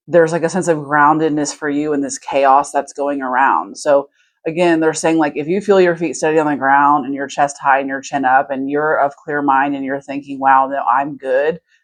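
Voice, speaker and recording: Someone talks at a fairly quick pace against a quiet background. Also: woman. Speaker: tarot reader. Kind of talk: tarot reading. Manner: fast; animated.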